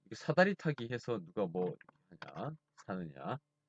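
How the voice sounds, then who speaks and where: A man's medium-pitched voice with very wide pitch swings, in a dry, close sound with no echo. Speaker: math teacher. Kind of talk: lecture. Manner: fast.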